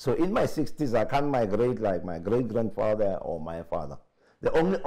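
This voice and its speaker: A man at a moderate pace, dark and mellow in tone, with vocal fry and very wide pitch swings. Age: 60s. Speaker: politician. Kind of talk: interview. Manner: animated.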